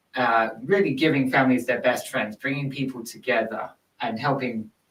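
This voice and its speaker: A man speaks with an English accent at a moderate pace. His pitch is medium and his intonation fairly even. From London, England. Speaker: nonprofit executive. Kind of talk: podcast interview. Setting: studio.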